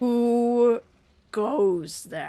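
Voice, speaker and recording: This is a put-on character voice, female-sounding and pitched high for a woman. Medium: actual play. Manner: twisted, unnatural.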